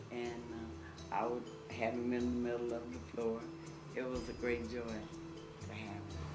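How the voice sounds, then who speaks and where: A woman at a fairly slow pace, with noticeable background noise. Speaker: interviewee recalling a family friend. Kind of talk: interview answer. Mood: warm, fond, reminiscing. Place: home room.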